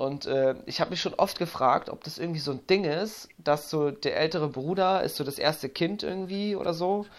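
A high-pitched man at a moderate pace with hardly any pauses and ordinary pitch variation, on a very clean recording with a silent background. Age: 30s. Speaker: podcast host and addiction coach. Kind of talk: casual interview.

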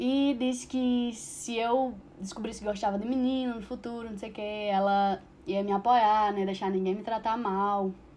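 Using a normal speaking voice, a woman talks at a fairly high pitch with fairly even intonation. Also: moderate pace. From Brazil, Mossoró. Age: 20s. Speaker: interviewee sharing LGBTQIA+ experience. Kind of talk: personal testimony.

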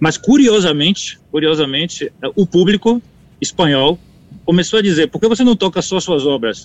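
Lively intonation marks this man's high-pitched voice at a moderate pace. The sound is dry and close, with no echo. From Bahia, Brazil. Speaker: conductor and composer. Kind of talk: interview. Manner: halting, many repetitions.

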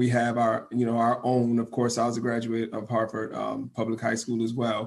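A man with an American accent at a medium pitch, talking at a fairly quick pace with hardly any pauses. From Hartford, Connecticut. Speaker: radio host and school administrator. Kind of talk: interview. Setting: radio studio. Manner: enthusiastic.

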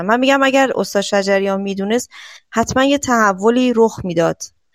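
A woman's fairly high voice, fairly quick in pace and fairly even in intonation. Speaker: caller. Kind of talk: casual call-in.

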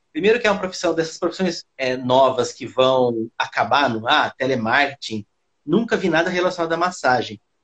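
This man has a plain, everyday voice, fairly high in pitch, with lively intonation at a moderate pace. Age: 40s. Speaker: physiotherapist and massage therapy teacher. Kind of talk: casual interview on live stream.

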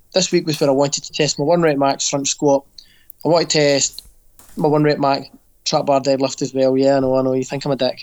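With a Scottish accent, a man talks at a very fast pace. His pitch is fairly high. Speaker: fitness coach and podcast co-host. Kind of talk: casual chat. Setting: video call.

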